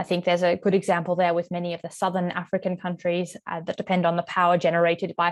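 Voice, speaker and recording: In an Australian accent, the words come at a very fast pace with monotone, flat intonation. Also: woman. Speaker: moderator. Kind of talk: webinar panel moderation.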